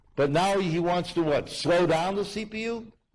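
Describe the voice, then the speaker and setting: A man speaks with an American accent. His pitch is high. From United States. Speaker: university lecturer, author. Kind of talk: public lecture Q&A.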